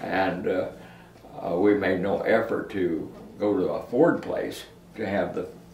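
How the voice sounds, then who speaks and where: A man's voice over noticeable background noise. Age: 80s+. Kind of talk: interview answer. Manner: slow, hesitant.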